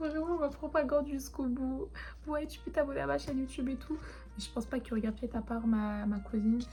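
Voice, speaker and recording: A woman talking at a very fast pace over music in the background. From France, Grenoble, Turkish family. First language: Turkish (speaking French). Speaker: vlogger. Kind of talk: casual chat. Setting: bedroom. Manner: rambling, hesitant.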